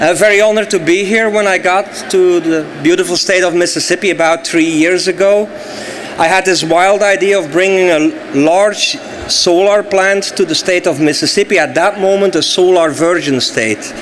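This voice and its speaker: A man with a Flemish accent speaks at a high pitch over noticeable background noise. His loudness stays very even. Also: ordinary pitch variation, moderate pace. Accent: Belgian Dutch accent in English. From Belgium (Flemish). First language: Dutch. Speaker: solar energy company executive. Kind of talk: speech at event.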